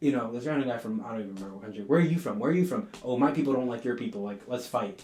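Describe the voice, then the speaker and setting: A man with a Southern California accent talks at a very fast pace with hardly any pauses and big swings in loudness, amid audible room echo. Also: medium pitch for a man, lively intonation. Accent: Southern California American English. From Southern California, Mexican-American. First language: Spanish. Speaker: podcast host. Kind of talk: casual conversation.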